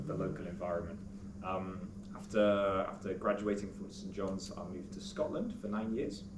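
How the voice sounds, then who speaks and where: A man with a British accent, audible room echo around his voice. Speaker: teacher. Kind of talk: speech to an audience. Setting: school event with audience. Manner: hesitant, many fillers.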